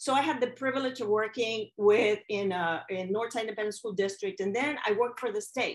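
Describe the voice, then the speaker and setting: A woman with a Mexican accent, fairly high pitch and a fairly quick pace. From Mexico. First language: Spanish. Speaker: educator and keynote speaker. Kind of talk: keynote talk.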